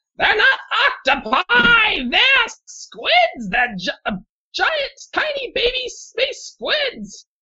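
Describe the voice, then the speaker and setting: A put-on character voice at an extremely high, shrill pitch. The pace is very slow. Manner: screeching.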